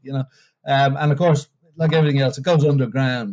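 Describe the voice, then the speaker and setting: Recorded very cleanly against a silent background, a man with an Irish accent talks at a medium pitch in a dark, mellow tone. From Ireland; Bray, near Dublin. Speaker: travel writer and tour leader. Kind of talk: podcast interview answer.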